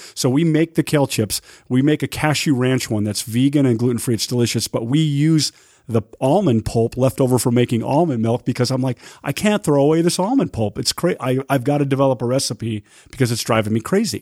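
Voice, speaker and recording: A man talks in a normal speaking voice at medium pitch and a fairly quick pace, with ordinary pitch variation. The sound is dry and close, with no echo. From Utah. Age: 50s. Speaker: restaurant owner and chef. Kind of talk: casual interview. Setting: studio.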